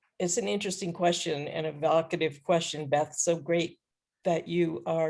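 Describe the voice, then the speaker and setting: With an American accent, a woman speaks at a very deep, low pitch and fairly even intonation. The background is quiet. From upstate New York, US. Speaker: support group participant. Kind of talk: personal testimony in group call.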